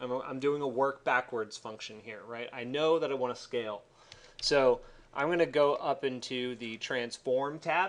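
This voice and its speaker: A man's medium-pitched voice at a moderate pace, with ordinary pitch variation and big swings in loudness. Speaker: architecture instructor. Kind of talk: tutorial. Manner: casual, hesitant with fillers.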